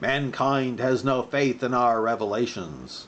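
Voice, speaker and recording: A booming, put-on character voice moves at a fairly slow pace. Background noise is clearly heard. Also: man, medium pitch for a man. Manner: thunderous, declaring.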